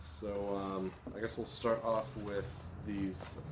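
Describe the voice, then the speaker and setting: Through noticeable background noise comes a man's fairly low voice with fairly even intonation. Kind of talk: casual vlog chat. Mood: relaxed, cheerful. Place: home room. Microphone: phone near.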